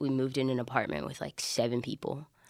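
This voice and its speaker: Speaking at a moderate pace, a woman uses a very deep, low pitch and monotone, flat intonation. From Alabama, US South. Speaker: church staff resident. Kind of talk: casual interview.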